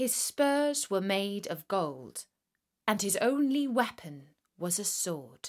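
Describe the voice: Plain reading aloud with lively intonation comes through over a quiet background.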